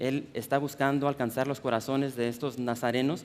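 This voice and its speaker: Talking at a fairly quick pace, a man uses a fairly high pitch and a monotone, flat intonation. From US Midwest (Chicago), Mexican-American family. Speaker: preacher. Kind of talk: sermon. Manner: halting, many repetitions and fillers.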